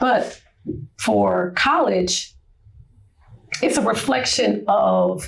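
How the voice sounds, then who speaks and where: Long, frequent pauses break up a woman's very slow speech, heard against noticeable background noise. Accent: American. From US Midwest, Cleveland Ohio. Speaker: retired Marine Corps chief warrant officer. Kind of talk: interview.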